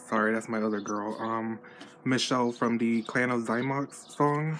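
A man with an American accent talks at a moderate pace in a medium pitch. His intonation stays flat and monotone over noticeable background noise. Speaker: doll collector vlogger. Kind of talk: unboxing vlog. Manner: casual, hesitant with fillers.

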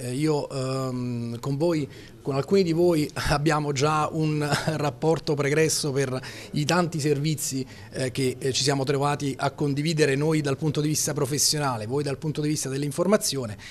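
At a moderate pace, a man speaks with fairly high pitch and fairly even intonation. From Salerno, Campania, southern Italy; Campania, Italy. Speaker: police spokesman. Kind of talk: press statement. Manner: halting. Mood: calm, courteous. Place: office. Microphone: handheld.

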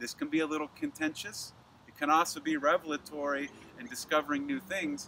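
This man's voice is fairly high and bright, with a sharp tone and fairly even intonation. He talks at a fairly quick pace over light background noise, in a dry sound with no echo. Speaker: astrologer and yoga teacher; presenter. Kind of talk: astrology report monologue. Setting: filmed video. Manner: occasionally stumbles over words. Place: garden.

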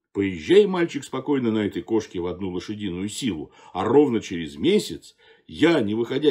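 At a moderate pace, a man speaks with very wide pitch swings against a quiet background. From Russia. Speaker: theatre actor and director reading a fairy tale. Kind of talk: fairy tale reading aloud. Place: home room. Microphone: phone near.

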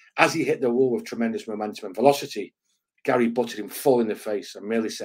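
Plain reading aloud is heard with a quiet background behind it.

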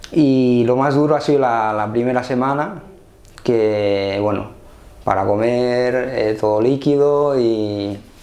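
At a very slow pace, a man speaks with very even loudness and ordinary pitch variation. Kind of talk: interview answer. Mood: calm, reflective. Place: office. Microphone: lapel.

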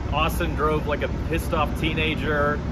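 A man speaks over loud background noise. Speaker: motorsport reporter. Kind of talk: race recap commentary. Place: street. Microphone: handheld.

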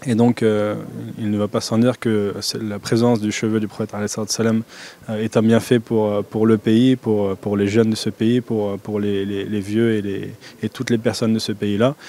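This man's voice has a dark, mellow tone, a fairly low pitch and a monotone, flat intonation. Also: fairly quick pace, dry sound with no echo. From France. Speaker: convert and follower of a Sufi order. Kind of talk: interview answer, casual. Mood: calm, devout. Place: hall. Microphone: handheld.

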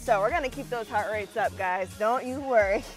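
Faint music plays behind the voice. The speaker is a woman. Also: dry sound with no echo. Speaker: fitness instructor. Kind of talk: workout instruction. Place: open country.

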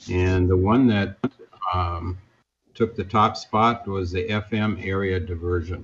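Over light background noise, a man with a very deep, low pitch speaks somewhat breathily with fairly even intonation. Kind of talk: meeting chairing. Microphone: video call.

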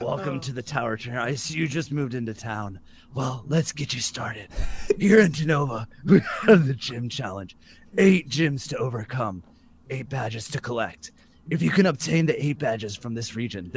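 A man puts on a character voice, keeping to a medium pitch and a moderate tempo. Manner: welcoming, explanatory.

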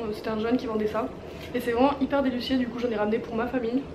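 Over noticeable background noise, a woman speaks in a monotone with flat intonation. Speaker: vlogger. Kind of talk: casual vlog chat. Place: home room.

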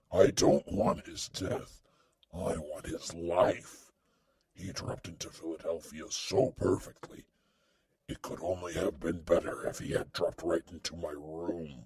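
Growling at a moderate pace, a man talks in a very deep, low voice with big swings in loudness. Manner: cold, domineering, menacing.

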